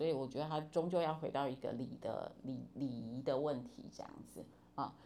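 Room echo is audible as a woman speaks at a moderate pace. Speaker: university professor of Chinese. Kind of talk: interview.

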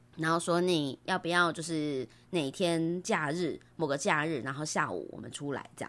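A woman with an unremarkable speaking voice, fairly low in pitch, at a moderate pace, with fairly even intonation and hardly any pauses. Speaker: podcaster. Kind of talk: casual chat.

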